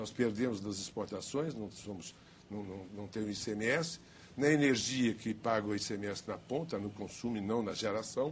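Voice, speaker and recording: A man in an ordinary speaking voice talks at a moderate pace, with medium pitch and ordinary pitch variation. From Minas Gerais, Brazil. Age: 60s. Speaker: politician. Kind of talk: televised political debate.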